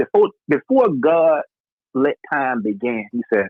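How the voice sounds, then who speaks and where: A man with a Southern US accent talks at a fairly slow pace. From North Carolina. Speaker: podcast host. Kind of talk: casual chat. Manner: animated.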